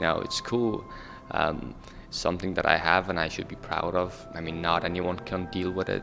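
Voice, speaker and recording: A man with a very deep, low pitch at a moderate pace and fairly even intonation, with music in the background. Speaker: refugee youth panelist. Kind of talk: panel discussion. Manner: halting.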